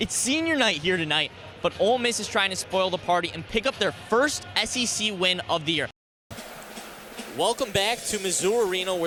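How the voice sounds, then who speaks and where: Raising and projecting his voice, a man speaks at a fairly quick pace with a high pitch and lively intonation. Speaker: sports broadcaster.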